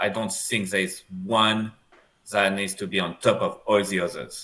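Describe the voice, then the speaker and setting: A man with a French accent at a moderate pace. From France. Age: 40s. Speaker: screenwriter. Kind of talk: interview. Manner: halting.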